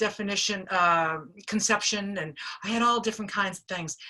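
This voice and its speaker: A woman speaks at a moderate pace in a Boston accent. Her fairly high voice has a bright, sharp tone and lively intonation. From Boston, US. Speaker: recovery speaker sharing experience. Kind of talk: personal testimony. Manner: casual, conversational with fillers.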